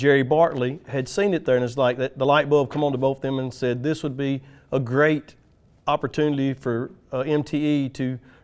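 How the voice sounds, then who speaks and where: A man talks at a moderate pace in a Tennessee accent. His intonation stays fairly even. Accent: US Southern (Tennessee). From West Tennessee, Jackson. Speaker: utility lineman. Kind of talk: podcast interview.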